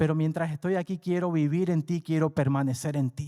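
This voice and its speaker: A man is heard in a dry, close sound with no echo. The recording is very clean and the background is silent. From coastal region, Latin America. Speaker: preacher. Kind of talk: sermon.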